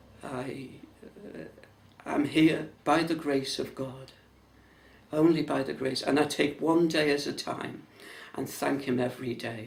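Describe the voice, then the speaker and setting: Fairly high-pitched male speech with fairly even intonation, long, frequent pauses and audible room echo. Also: fairly slow pace. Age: 70s. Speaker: churchgoer. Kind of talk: testimony. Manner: halting.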